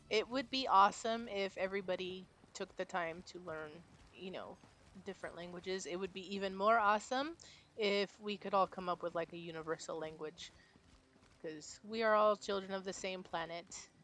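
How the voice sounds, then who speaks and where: A woman's medium-pitched voice moves at a moderate pace, its pitch varying in an ordinary way. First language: Spanish. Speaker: game streamer. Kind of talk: casual chat. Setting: live stream while gaming.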